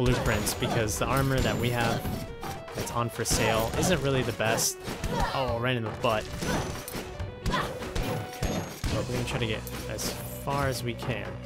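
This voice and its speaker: Over loud background music, a man talks at a moderate pace with long, frequent pauses. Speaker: gaming YouTuber. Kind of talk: video game commentary. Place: home room.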